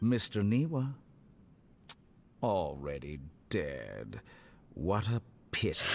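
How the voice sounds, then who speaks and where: A man puts on a character voice at a fairly low pitch with very wide pitch swings. He goes at a very slow pace with long, frequent pauses. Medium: video game. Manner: cold, drawn-out syllables.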